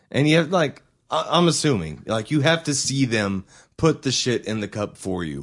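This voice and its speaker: A man's medium-pitched voice with vocal fry and an American accent, very wide pitch swings, at a moderate pace. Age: 20s. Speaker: podcast co-host. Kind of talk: casual chat.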